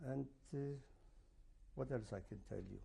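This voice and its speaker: A man speaks with a Polish accent. His pitch varies in an ordinary way. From Poland. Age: 70s. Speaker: Holocaust survivor. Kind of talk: oral history interview. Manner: halting, many fillers.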